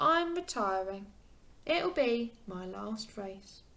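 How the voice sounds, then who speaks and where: At a very slow pace, a woman puts on a character voice with a fairly high pitch. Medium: read story. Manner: cheerful, warm.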